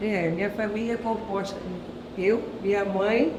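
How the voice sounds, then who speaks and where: Noticeable background noise and audible room echo surround a woman who talks at a medium pitch and a very slow pace. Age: 50s. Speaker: taxi driver. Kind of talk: interview.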